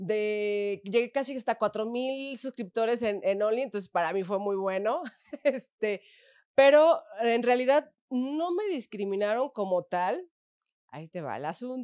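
A woman's fairly high voice, lively in intonation and fairly slow in pace, over a quiet background. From Mexico, León, Guanajuato; Guanajuato, Mexico. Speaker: adult content creator. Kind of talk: interview. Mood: relaxed, chatty, animated. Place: studio. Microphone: studio mic.

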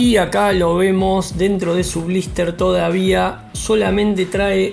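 Faint music in the background behind a man's voice. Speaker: toy collector reviewer. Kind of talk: casual unboxing review. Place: home room.

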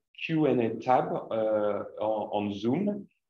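A man's voice with audible room echo. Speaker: seminar host. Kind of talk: event introduction announcements. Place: hall.

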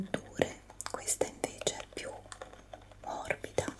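A woman speaks at a fairly slow pace over loud background noise. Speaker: ASMR creator. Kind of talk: soft-spoken ASMR chat. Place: home room. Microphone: studio mic.

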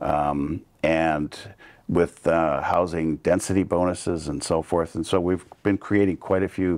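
A man talks at a fairly slow pace in a very deep, low voice. His intonation is flat and monotone against a quiet background. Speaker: council candidate. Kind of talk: interview answer. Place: studio. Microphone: lapel.

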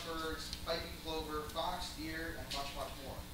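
A man talks amid noticeable background noise, with strong room echo. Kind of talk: ceremonial speech. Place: hall.

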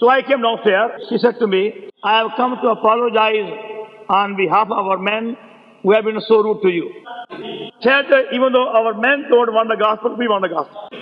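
With noticeable background noise, a man talks at a moderate pace in a high pitch, his intonation fairly even. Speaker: preacher. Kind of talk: sermon. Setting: poor-quality old recording. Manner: speaks with a stammer.

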